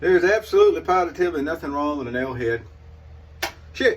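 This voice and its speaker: A man in a Southern US accent. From US South. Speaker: shaving video creator. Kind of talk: casual product demo monologue. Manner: rambling, hesitant with fillers.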